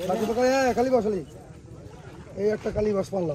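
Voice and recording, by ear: Fast, lively speech in a dark, mellow tone over faint background noise. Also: man, high pitch for a man.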